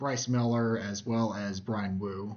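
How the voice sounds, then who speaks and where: The pitch of this man's voice is medium. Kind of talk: casual sports commentary rant to camera. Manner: calm, not raised voice.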